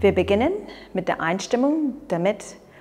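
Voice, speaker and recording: A woman speaks in a calm tone at a moderate pace, her pitch swinging very widely. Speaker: qigong instructor. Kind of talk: exercise tutorial instruction. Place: open country. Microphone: lapel.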